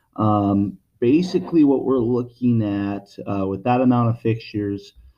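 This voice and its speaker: A man talks at a moderate pace in a normal speaking voice with ordinary pitch variation. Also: medium pitch for a man. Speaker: lighting sales representative. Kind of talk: product explanation video message. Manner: casual, with many fillers.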